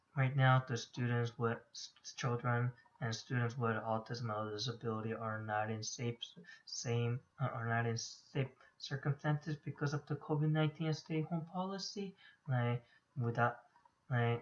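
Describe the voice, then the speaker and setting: Somewhat breathy, a man at medium pitch speaks at a moderate pace with ordinary pitch variation. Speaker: graduate student. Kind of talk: class presentation. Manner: halting.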